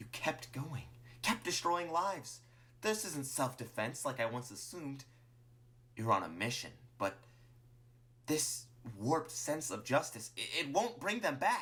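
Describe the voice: In a put-on character voice, the speaker talks at a slow pace with big pitch swings and a bright, sharp tone. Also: man, fairly high pitch for a man.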